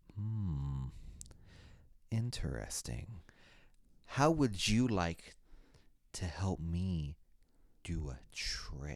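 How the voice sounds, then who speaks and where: A man puts on a sinister, gravelly character voice at a very deep, low pitch, with very wide pitch swings. He goes at a very slow pace with long, frequent pauses, in a very clean recording with a silent background. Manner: sinister, coaxing.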